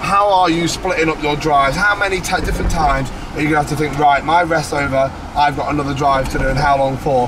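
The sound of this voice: Fast, fairly even speech from a man with a fairly high pitch, against clear background noise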